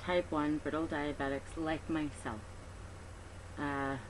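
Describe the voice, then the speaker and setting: A woman with a very deep, low pitch speaks in a space with audible room echo. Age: 30s. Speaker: patient advocate. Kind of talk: personal testimony appeal. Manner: hesitant with many fillers.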